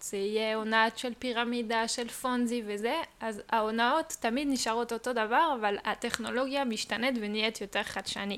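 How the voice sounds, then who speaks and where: A woman speaks at a fairly slow pace with a slight non-native accent. Her pitch sits fairly high. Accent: slight foreign. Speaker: crypto industry worker. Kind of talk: casual explanatory chat. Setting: living room.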